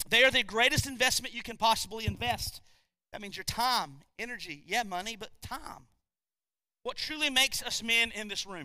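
Raised and projected, this man's voice has a bright, sharp tone and an extremely high pitch, moving at a moderate pace with ordinary pitch variation. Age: 40s. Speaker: pastor. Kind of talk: sermon.

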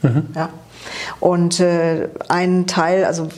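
This woman's voice sits fairly low in pitch. Her intonation is monotone and flat. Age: 50s. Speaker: office clerk, coaching client. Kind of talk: interview.

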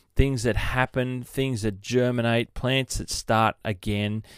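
The voice carries an Australian accent. The recording is very clean with a silent background and a dry, close sound with no echo. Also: man. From Sydney, Australia. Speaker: golf podcast host. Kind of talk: solo podcast monologue. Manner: casual, rambling.

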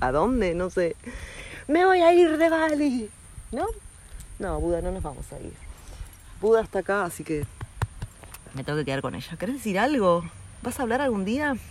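Long, frequent pauses break up a woman's speech at a moderate pace. Her medium-pitched voice has very wide pitch swings and big swings in loudness. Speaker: podcaster. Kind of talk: casual monologue. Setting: outdoors, walking.

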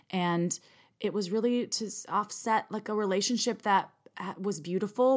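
A woman with an American accent at medium pitch and ordinary pitch variation, moderate in pace, on a very clean recording with a silent background. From US Midwest, Wisconsin. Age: 30s. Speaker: sex toy company executive and podcast co-host. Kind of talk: casual chat.

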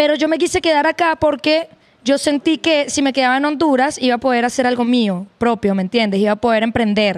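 Her voice is high in pitch, with ordinary pitch variation. The woman talks at a fairly quick pace with very even loudness. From Venezuela. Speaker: guest. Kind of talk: casual chat.

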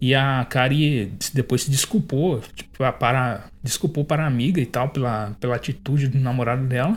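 A man talks at a moderate pace with hardly any pauses, his voice somewhat breathy. His pitch is medium, with ordinary pitch variation. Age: 20s. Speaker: podcast host reviewing manga. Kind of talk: solo review monologue. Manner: casual, hesitant with fillers.

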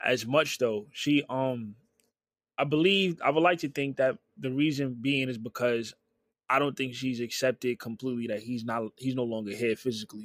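On a very clean recording with a silent background, a man of medium pitch and ordinary pitch variation is heard with a dry, close sound and no echo. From New York City, Harlem and Queens. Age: young. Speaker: podcast guest, host's cousin. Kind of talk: casual chat.

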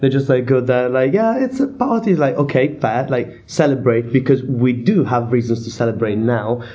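A somewhat breathy man's voice with an Italian accent, at a medium pitch and moderate pace, with ordinary pitch variation. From Italy. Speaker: deputy editor of student paper. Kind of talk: casual discussion.

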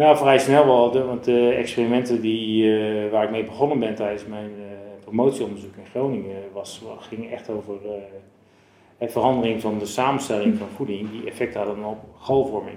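A man at a medium pitch keeps fairly even intonation at a moderate pace, his loudness swinging widely amid audible room echo. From Zeeland, Netherlands. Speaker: physiologist. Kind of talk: interview. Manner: halting.

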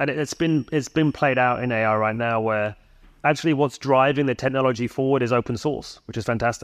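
In a quiet background, a man with a normal speaking voice speaks at a fairly quick pace and medium pitch, his intonation fairly even. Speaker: startup founder. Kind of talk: conference panel talk. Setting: stage with audience.

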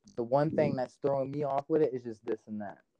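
A man with an American accent speaks fairly quickly in an ordinary speaking voice, with ordinary pitch variation. The sound is dry and close, with no echo. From Fort Wayne, Indiana. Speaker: music artist. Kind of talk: casual chat.

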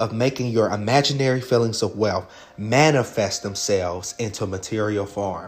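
A man's medium-pitched voice moves with ordinary pitch variation as noticeable background noise carries underneath. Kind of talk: guided visualization meditation. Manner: instructive, unpolished, with hesitant fillers and frequent 'right?' check-ins.

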